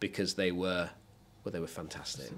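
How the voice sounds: The tone is fairly bright, with ordinary pitch variation. The pace is moderate. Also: man, low pitch for a man.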